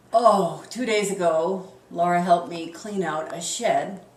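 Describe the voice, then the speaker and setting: A woman with a fairly low pitch speaks with fairly even intonation. Audible room echo and noticeable background noise surround her voice. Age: 60s. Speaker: public relations consultant and homeowner. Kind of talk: interview.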